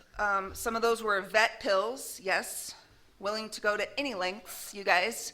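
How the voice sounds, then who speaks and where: Loud and bright with a sharp tone, the voice carries an American accent at a fairly slow pace with fairly even intonation. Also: woman, medium pitch for a woman. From Arizona. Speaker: speaker at a recovery meeting. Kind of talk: recovery testimony. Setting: meeting with live audience, recorded. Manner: casual, lots of fillers.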